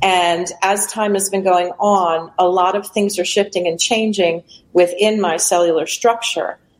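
A plain, everyday voice from a woman at medium pitch, fairly slow in pace, with fairly even intonation. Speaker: retired postal worker and healer. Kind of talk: testimony. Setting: video call from outdoor balcony.

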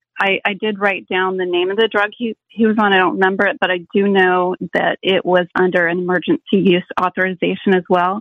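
An unremarkable speaking voice from a woman, medium pitch, fairly even intonation, moderate pace. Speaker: caller. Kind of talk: call-in testimony. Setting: phone call.

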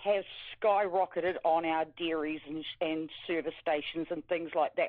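A speaker with a New Zealand accent. The pace is moderate. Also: woman. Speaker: caller. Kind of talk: phone call-in.

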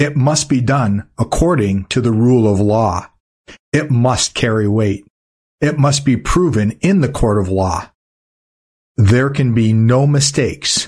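A man speaks at a fairly slow pace with a medium pitch and a somewhat breathy quality. His loudness stays very even. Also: ordinary pitch variation. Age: 50s. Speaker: news commentator and show host. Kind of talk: infomercial pitch mixed into a news-update monologue. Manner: earnest, persuasive, salesman-like.

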